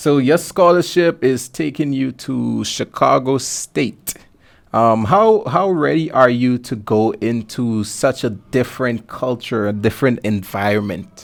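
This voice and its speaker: Lively intonation in a Guyanese accent, at a fairly slow pace. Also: man, medium pitch for a man. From Guyana. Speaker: podcast host. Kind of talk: casual interview.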